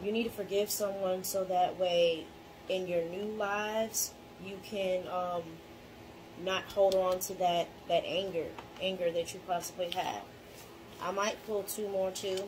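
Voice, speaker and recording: A woman's medium-pitched, monotone, flat delivery at a fairly slow pace, full of long, frequent pauses, over noticeable background noise. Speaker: tarot reader. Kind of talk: tarot reading. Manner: casual, filler-heavy.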